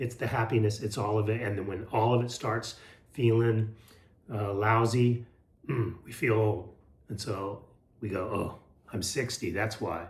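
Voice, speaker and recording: Somewhat breathy and fairly low in pitch, a man speaks at a fairly slow pace with fairly even intonation, long, frequent pauses, and audible room echo. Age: 60s. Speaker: health and lifestyle vlogger. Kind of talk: casual motivational talk to camera. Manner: hesitant, many fillers and repeats.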